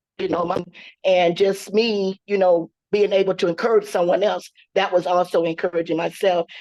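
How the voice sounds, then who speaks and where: Her intonation is monotone and flat. The woman's voice sounds dry and close, with no echo. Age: 60s. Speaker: social worker, audience member. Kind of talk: question and answer comment.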